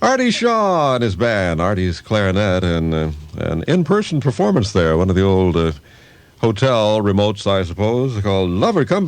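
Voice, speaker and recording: Pitched fairly low, a man talks at a moderate pace with lively intonation in an ordinary speaking voice. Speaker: radio announcer, AM station disc jockey. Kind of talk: radio show host introducing oldies music. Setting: radio broadcast, aircheck recording from 1991. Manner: casual, conversational, relaxed.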